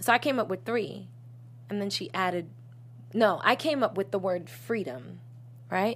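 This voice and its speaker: Using vocal fry and very wide pitch swings, a woman with an American accent talks with long, frequent pauses. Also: medium pitch for a woman, moderate pace, very clean recording, silent background. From Boston. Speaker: singer and songwriter. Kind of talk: casual interview chat.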